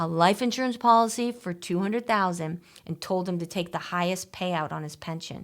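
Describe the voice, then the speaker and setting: A woman speaks in a normal speaking voice at a moderate pace with ordinary pitch variation. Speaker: financial planner, show host. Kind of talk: radio call-in style financial advice talk.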